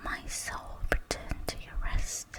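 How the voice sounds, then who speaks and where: Whispering at a very slow pace in a calm tone, over noticeable background noise. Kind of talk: Bible reading. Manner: whispered; slow, calm.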